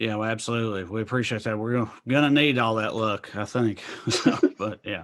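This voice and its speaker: A man speaks with a strong Tennessee accent at a fairly quick pace. His pitch sits in the medium range. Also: fairly even intonation. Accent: thick Southern (Tennessee). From US South, rural Clay County, Tennessee. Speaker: stand-up comedian. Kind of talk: casual interview chat.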